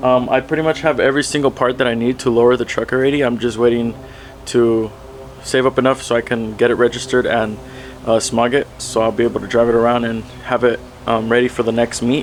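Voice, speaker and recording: A man's very fast, flat, monotone delivery at a medium pitch, with very even loudness and noticeable background noise. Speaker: truck vlogger. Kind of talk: casual vlog talk.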